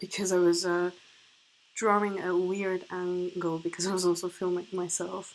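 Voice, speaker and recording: A woman at medium pitch, speaking at a fairly slow pace. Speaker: artist and printmaker. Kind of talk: unscripted tutorial narration. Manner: halting, many fillers.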